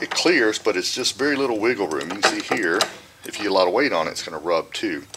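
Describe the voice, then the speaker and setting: A man talks over noticeable background noise. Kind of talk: tutorial. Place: workshop.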